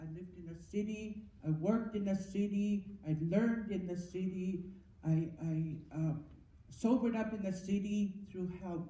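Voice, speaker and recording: Amid audible room echo, a woman of medium pitch speaks at a moderate pace with fairly even intonation. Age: 70s. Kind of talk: testimony. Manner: halting, with repetitions.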